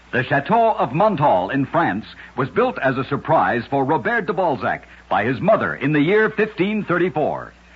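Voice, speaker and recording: With noticeable background noise behind him, a man with a fairly high pitch talks at a moderate pace and makes very wide pitch swings. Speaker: radio narrator. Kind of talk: old-time radio one-minute story narration.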